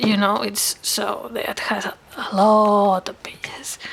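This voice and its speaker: Noticeable background noise runs behind a woman speaking. Her pitch is fairly high and her pace very slow. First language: Catalan or Spanish. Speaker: crafting YouTuber. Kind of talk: product demo tutorial. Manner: halting, hesitant.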